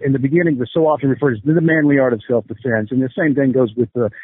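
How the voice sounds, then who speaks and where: The man's medium-pitched voice races along at a very fast pace. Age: 50s. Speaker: combat sports coach. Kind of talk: interview.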